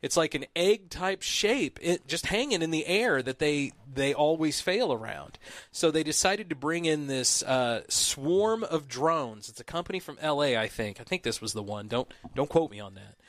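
Speaking with a Midwestern accent, a man with a fairly high voice makes very wide pitch swings and big swings in loudness. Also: moderate pace. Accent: Midwest US. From Southern Illinois. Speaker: podcast host. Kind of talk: casual chat.

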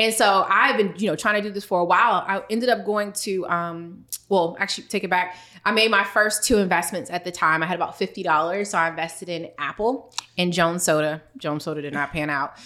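A woman with an American accent talks at a fairly quick pace in a medium-pitched voice with ordinary pitch variation. Noticeable background noise is present. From US, DC/Maryland area. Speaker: financial expert and business founder. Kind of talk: casual interview.

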